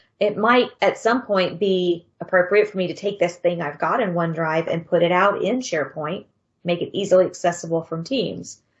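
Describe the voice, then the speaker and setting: A somewhat breathy woman speaks at a moderate pace. Her fairly low pitch has ordinary pitch variation. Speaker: conference speaker on Microsoft 365 tools. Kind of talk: conference presentation. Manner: animated.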